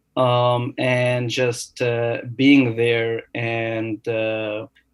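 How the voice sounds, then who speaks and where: Monotone and flat, a man of medium pitch speaks with an Arabic accent. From Egypt. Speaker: new dentist. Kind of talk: podcast interview. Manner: hesitant, many fillers.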